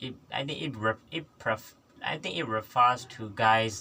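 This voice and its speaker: This man has a non-native accent. He talks at a medium pitch. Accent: noticeable non-native English. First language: not English. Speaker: English learner vlogger. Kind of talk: solo vlog practice talk. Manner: halting, many repetitions and self-corrections.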